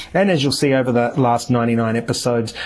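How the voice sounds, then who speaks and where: The intonation stays fairly even while noticeable background noise runs underneath. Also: man. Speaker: podcast host. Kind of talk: solo podcast monologue. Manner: fast; hesitant, many fillers.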